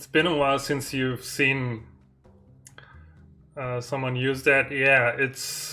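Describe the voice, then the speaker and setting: A voice with a German accent, long, frequent pauses and music in the background. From Germany. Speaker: indie game developer streaming. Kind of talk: live stream dev chat. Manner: halting, hesitant.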